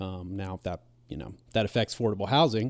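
An ordinary speaking voice with an American accent, fairly even intonation, and a very clean recording over a silent background. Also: man. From Southwest Virginia, Roanoke. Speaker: regional economic development program director. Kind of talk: casual chat.

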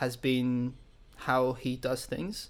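A man speaks at a medium pitch with a British accent. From France (English father, German mother). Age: 20s. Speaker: worship leader, church intern. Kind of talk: casual interview. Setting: remote call.

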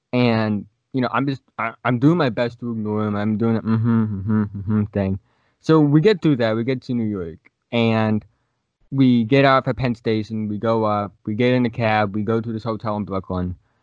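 A man talks with an unremarkable speaking voice at medium pitch. His intonation is fairly even, and his pace is moderate. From Massachusetts, Plymouth. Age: young. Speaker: podcast host, college student. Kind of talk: casual chat. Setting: video podcast.

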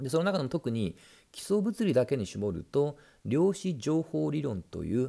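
The voice has a dark, mellow tone, moves through very wide pitch swings and keeps a fairly slow pace. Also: man. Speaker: science podcast host. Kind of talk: solo explainer monologue. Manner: casual with frequent fillers.

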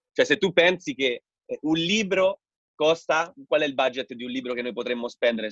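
A normal speaking voice with lively intonation comes through in a dry, close sound with no echo. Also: man. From Rome, Italy. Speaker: podcast host and entrepreneur. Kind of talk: webinar host moderating a live video call. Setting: video call.

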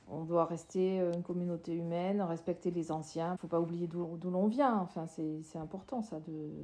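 Her tone dark and mellow, a woman talks at a fairly slow pace with fairly even intonation and hardly any pauses. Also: fairly low pitch for a woman. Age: 60s. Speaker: sociologist and former social worker. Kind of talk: interview testimony. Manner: halting, many hesitations.

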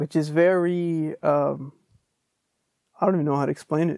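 A man speaks in a relaxed, dark, mellow tone with monotone, flat intonation. The sound is dry and close, with no echo. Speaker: podcast host. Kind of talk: casual solo monologue. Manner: relaxed, conversational.

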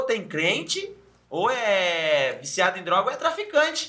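A raised, projected voice with very wide pitch swings comes through noticeable background noise. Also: man. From interior of São Paulo state, Brazil (Sorocaba). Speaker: podcast co-host. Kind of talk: casual chat.

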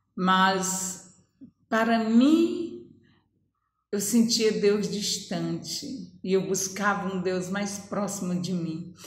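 Speaking at a medium pitch with ordinary pitch variation, a woman's somewhat breathy voice moves at a very slow pace, broken by long, frequent pauses, with audible room echo around her. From Brazil, Ceará (Northeast). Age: 50s. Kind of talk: testimony.

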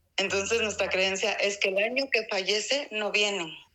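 A woman is speaking. She has an Oaxacan accent. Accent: Mexican Spanish (Oaxaca). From Mexico, Oaxaca city. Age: 40s. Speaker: interviewee on local traditions. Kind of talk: casual interview. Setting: remote call. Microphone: poor audio.

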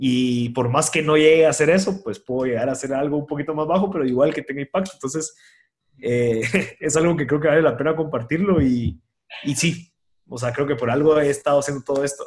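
A man with a fairly high pitch and ordinary pitch variation talks fairly quickly. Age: 20s. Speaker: volunteer firefighter and entrepreneur. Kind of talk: casual interview conversation. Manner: halting, many fillers and repeated words.

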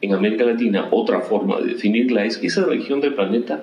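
Noticeable background noise and audible room echo fill the recording. A man talks through them at a fairly quick pace. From Peru, Ica. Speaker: economist, dean of economics. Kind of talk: interview.

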